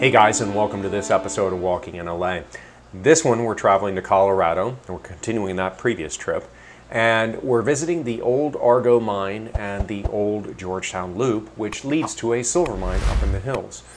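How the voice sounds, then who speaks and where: With music in the background, a man talks in a fairly low voice. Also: moderate pace. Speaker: travel vlogger. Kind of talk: casual vlog chat. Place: home room. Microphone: lapel.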